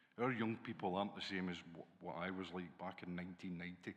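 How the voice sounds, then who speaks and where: A man speaks in a Glaswegian accent. His pace is fairly quick. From Scotland, Glasgow. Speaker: college dean. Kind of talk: conference panel talk.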